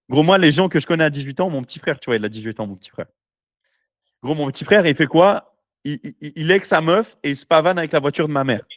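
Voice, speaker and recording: In a dry, close sound with no echo and a very clean recording with a silent background, a man talks very fast in a fairly high pitch. His tone is animated, his intonation lively, and his loudness swings widely. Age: 20s. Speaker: entrepreneur podcast host. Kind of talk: casual chat.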